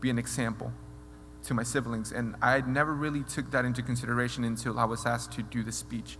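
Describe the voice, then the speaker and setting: A very fast pace with audible room echo. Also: man. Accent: Spanish. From Mexico. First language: Spanish. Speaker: mentoring program alumnus. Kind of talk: speech. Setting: stage with audience. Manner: halting.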